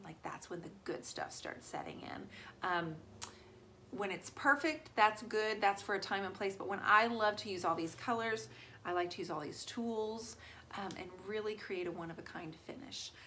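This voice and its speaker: The speaker talks at a moderate pace with ordinary pitch variation and big swings in loudness, with light background noise behind. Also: woman. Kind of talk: tutorial. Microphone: phone near.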